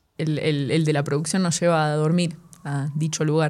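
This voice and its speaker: A woman's bright, sharp voice with a Rioplatense accent, on a very clean recording against a silent background. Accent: Argentine Rioplatense Spanish. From Argentina. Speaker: jazz drummer and big band director. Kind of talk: casual chat. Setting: rehearsal room studio.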